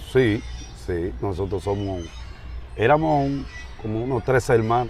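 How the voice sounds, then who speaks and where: Music sounds in the background while a man with a Dominican accent talks in a fairly low voice with very wide pitch swings. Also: fairly slow pace. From Dominican Republic, San Pedro de Macorís. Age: 60s. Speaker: pastor. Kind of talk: interview.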